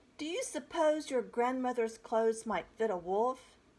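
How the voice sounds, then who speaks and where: In a put-on character voice, someone growls along at a moderate pace. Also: woman, high pitch for a woman. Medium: read story. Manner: growling.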